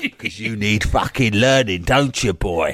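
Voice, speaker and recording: Putting on a gruff character voice in a Cockney accent, a man talks at a moderate pace and medium pitch with ordinary pitch variation. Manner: aggressive, insulting.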